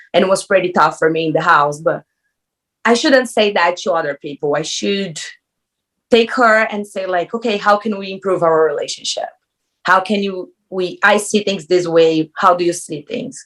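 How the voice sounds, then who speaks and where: In a Brazilian Portuguese accent, a woman speaks at a moderate pace with a medium pitch and ordinary pitch variation. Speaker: reality TV contestant. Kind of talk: interview. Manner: animated.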